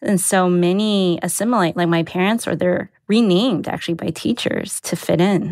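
Speaking in a Mandarin accent, the voice keeps a very even loudness with hardly any pauses. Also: woman, medium pitch for a woman, ordinary pitch variation, moderate pace, very clean recording, silent background. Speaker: editor. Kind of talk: personal storytelling.

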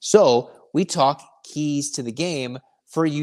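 A man speaks with lively, bouncing intonation. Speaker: sports podcast host. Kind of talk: sports podcast monologue with ad reads; pitchman ad read, promo spiel. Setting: studio, also on YouTube. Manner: fast, pushy, salesy, repeating the promo code; animated, conversational.

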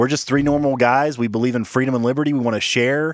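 Recorded very cleanly against a silent background, with a dry, close sound and no echo, a man speaks in a plain, everyday voice at a medium pitch with ordinary pitch variation. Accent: American. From rural small town, US. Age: 20s. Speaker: podcast host. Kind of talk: casual chat.

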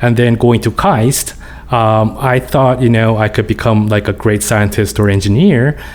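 A man with a Korean accent speaks fairly slowly at a medium pitch, with very even loudness and hardly any pauses, amid noticeable background noise. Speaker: business professor, former tech CEO. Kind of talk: interview.

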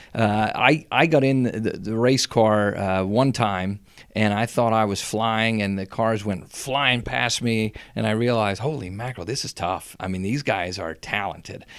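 In a very clean recording with a silent background, a man with a fairly low pitch speaks at a moderate pace in an enthusiastic tone. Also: ordinary pitch variation. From Schuylkill County coal region, Pennsylvania. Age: 40s. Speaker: school superintendent. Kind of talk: casual interview.

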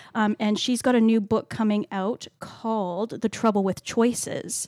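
In an unremarkable speaking voice, a woman with a Canadian accent talks at a fairly slow pace and a fairly high pitch, recorded dry and close with no echo. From Canada. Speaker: library podcast co-host. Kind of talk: casual book discussion.

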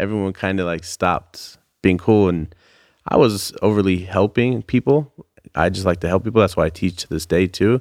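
A man's very deep, low voice with a Californian accent, ordinary pitch variation and a moderate pace, the sound dry and close with no echo on a very clean recording with a silent background. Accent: Californian American. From US West Coast, Bay Area (Santa Rosa). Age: 30s. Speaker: custom sneaker designer. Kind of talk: casual interview chat.

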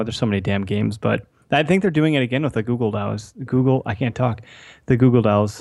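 At a fairly quick pace, a man with a medium pitch speaks in an Upper Midwest accent, in a very clean recording with a silent background. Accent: Upper Midwest American. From US Midwest, Wisconsin. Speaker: podcast co-host. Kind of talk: casual chat.

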